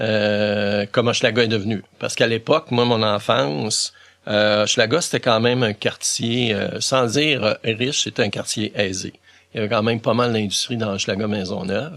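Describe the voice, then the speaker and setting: This man has an ordinary speaking voice and keeps a moderate pace. He talks at a medium pitch with ordinary pitch variation. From Quebec, Montreal. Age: 60s. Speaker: volunteer for visually impaired people. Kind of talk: interview.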